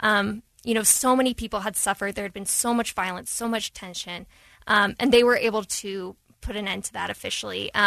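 With a Midwestern American accent, a woman speaks at a fairly quick pace in a medium pitch with a bright, sharp tone and fairly even intonation, her loudness swinging widely, in a dry, close sound with no echo. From Dayton, Ohio, US Midwest. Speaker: newspaper journalist. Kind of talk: radio interview. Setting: radio studio.

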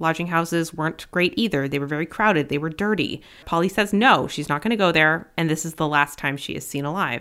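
The recording is very clean against a silent background. At a fairly quick pace, an ordinary speaking voice shows ordinary pitch variation. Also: woman. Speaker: podcast host. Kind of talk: true-crime narration. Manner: grave, measured, somber storytelling delivery with a clear warning tone.

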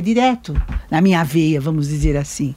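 Her dark, mellow tone is somewhat breathy as the woman's pitch swings very widely. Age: old. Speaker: grandmother. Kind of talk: casual chat.

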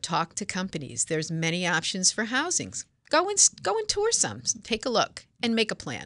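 With vocal fry and very wide pitch swings around a medium pitch, a woman talks at a moderate pace in a dry, close sound with no echo against a quiet background. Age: 60s. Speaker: home care franchise owner. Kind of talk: radio interview.

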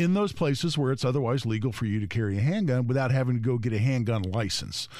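With an American accent, a man speaks in a normal speaking voice at a medium pitch and fairly quick pace, his intonation lively. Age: 60s. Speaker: gun rights attorney, fill-in radio co-host. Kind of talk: talk radio chat.

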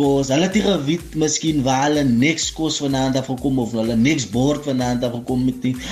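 Through noticeable background noise, a man speaks at a medium pitch with ordinary pitch variation. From Kraaifontein, Cape Town, South Africa. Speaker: police constable. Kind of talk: radio interview.

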